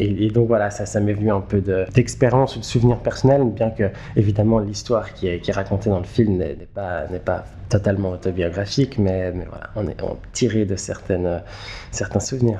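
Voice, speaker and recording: A man with a fairly low pitch and fairly even intonation talks at a moderate pace. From Switzerland, Geneva. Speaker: film director and screenwriter. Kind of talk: interview. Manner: halting, many repetitions and fillers.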